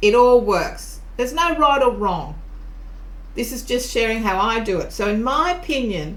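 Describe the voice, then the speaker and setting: A woman in an Australian accent, high-pitched with very wide pitch swings, amid audible room echo and noticeable background noise. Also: moderate pace. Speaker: tarot reader and teacher. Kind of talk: tutorial. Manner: casual, conversational.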